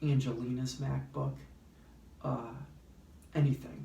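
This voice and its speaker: A man speaks softly at a moderate pace, his pitch sitting in the middle of the male range. Noticeable echo from the room surrounds his voice. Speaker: YouTuber. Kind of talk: tutorial. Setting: library. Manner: soft-spoken.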